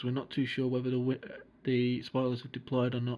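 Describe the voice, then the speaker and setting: Against noticeable background noise, a man with a British accent talks at a very fast pace and medium pitch, his intonation monotone and flat. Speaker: flight sim gamer and tutorial maker. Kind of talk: tutorial. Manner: casual, hesitant with fillers. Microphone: recorded on a phone.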